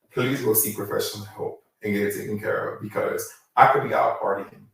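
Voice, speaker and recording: Audible room echo follows speech delivered at a fairly quick pace. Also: man. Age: 30s. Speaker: chef, caterer. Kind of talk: interview, personal testimony. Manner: halting, many fillers.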